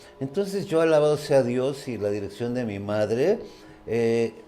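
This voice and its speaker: Music plays in the background as the speaker goes at a fairly slow pace with lively intonation. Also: man. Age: 60s. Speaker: mountaineer. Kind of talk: interview.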